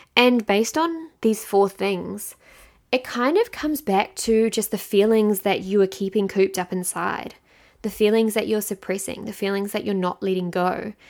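A New Zealand accent at a moderate pace, with ordinary pitch variation. The recording is very clean, with a silent background. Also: woman. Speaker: podcast host and mindset coach. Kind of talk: solo podcast monologue. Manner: casual, conversational.

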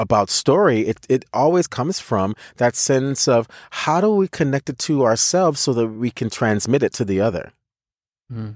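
In an ordinary speaking voice with an American accent, a man of medium pitch talks fairly slowly with lively intonation, recorded very cleanly against a silent background with a dry, close sound and no echo. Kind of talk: casual conversation.

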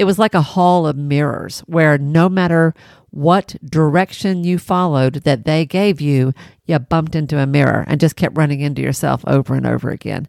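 An animated tone in a Southern US accent at a moderate pace, with ordinary pitch variation, in a very clean, dry, close recording with no echo and a silent background. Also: woman, very deep, low pitch for a woman. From Tennessee. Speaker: podcast host, private practice business coach. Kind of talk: solo podcast monologue with storytelling. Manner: animated, laughing often.

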